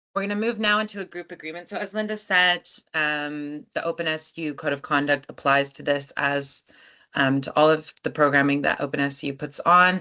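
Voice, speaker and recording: A woman speaks with an American accent at a moderate pace. Her pitch is very deep and low, with ordinary pitch variation. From United States. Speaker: activist and workshop facilitator. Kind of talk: workshop presentation. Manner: hesitant, frequent fillers.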